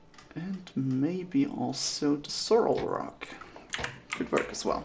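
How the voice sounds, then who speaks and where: The speaker sounds relaxed and moves at a very slow pace over noticeable background noise. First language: German. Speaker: gaming streamer. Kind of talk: casual gameplay commentary. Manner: relaxed, thinking aloud.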